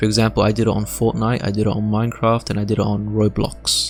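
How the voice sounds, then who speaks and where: Music plays behind a man speaking at a fairly quick pace. His voice sits fairly low, with monotone, flat intonation. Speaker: tech tutorial creator. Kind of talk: screen-recorded tutorial narration.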